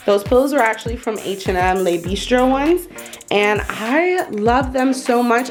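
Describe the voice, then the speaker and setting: With music in the background, a woman talks using lively intonation. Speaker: home decor vlogger. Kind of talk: home tour narration. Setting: at home, living room. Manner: casual, chatty.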